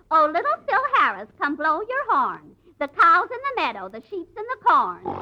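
A woman's put-on character voice, high-pitched and bright, sharp in tone, with very wide pitch swings at a moderate pace

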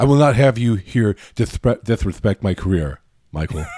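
A man puts on a robotic character voice at medium pitch. He keeps a moderate pace. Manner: stiff, mechanical.

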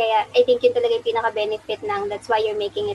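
A woman's voice with noticeable background noise. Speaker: prosthetist and orthotist. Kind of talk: interview.

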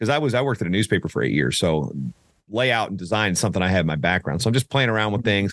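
Vocal fry marks this man's fairly low voice, delivered in an American accent at a very fast pace with lively intonation. The sound is dry and close with no echo, over a quiet background. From US South, southeastern Virginia. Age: 40s. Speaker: wrestling announcer. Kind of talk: casual interview. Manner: fast, many repetitions and restarts.

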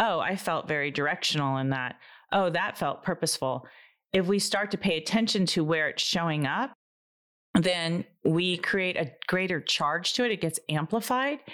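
A normal speaking voice with lively intonation and very even loudness goes at a moderate pace on a very clean recording with a silent background. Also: woman, fairly low pitch for a woman. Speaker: energy practitioner and clairvoyant. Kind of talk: casual chat.

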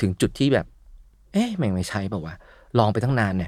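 Fairly low-pitched man, a normal speaking voice, very clean recording with a silent background. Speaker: father and YouTuber. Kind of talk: casual interview.

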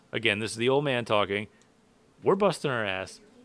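On a very clean recording with a silent background, a man with an ordinary speaking voice speaks at a fairly low pitch with lively intonation. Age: 30s. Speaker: racing podcast host and race car mechanic. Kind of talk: casual chat.

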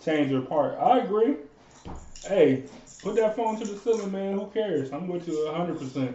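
In a room with audible echo and noticeable background noise, a man with a high pitch talks at a moderate pace with lively intonation. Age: 20s. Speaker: podcast host. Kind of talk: casual chat.

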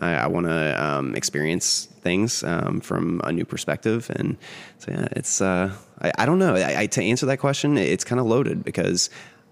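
Speaking at a moderate pace, a man with a very deep, low pitch and vocal fry makes very wide pitch swings. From West Virginia, small Ohio River town. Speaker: retired drag queen, bank worker. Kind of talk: casual interview conversation. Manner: hesitant, many fillers.

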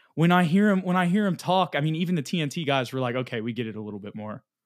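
A man with fairly high pitch talks very fast, his voice making very wide pitch swings. The recording is very clean, with a silent background. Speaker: sports podcast host. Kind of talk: casual sports recap discussion.

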